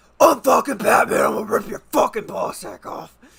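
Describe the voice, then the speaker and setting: This man puts on a character voice that is raspy and high in pitch. His pace is fairly quick. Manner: threatening, growling.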